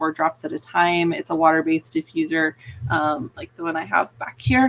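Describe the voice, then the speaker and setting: A woman speaks at a moderate pace in a plain, everyday voice with a fairly low pitch and ordinary pitch variation. The sound is dry and close, with no echo. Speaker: veterinarian. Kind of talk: live Q&A stream. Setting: live video from her office. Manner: casual, filler-heavy.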